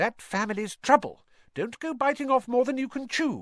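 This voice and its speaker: A put-on character voice at a moderate pace. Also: man, extremely high pitch for a man. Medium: read story. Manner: fussing, sharp.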